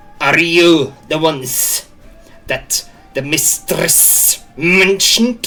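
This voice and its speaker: A put-on character voice at a middle pitch, very slow in pace. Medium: actual play. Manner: terse, broken phrasing.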